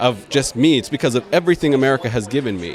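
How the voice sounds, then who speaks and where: Speaking very fast at a fairly high pitch, a man is heard over noticeable background noise. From Iraq, raised in Dayton, Ohio from age ten. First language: Arabic. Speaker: political candidate and attorney. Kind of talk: interview. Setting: event venue.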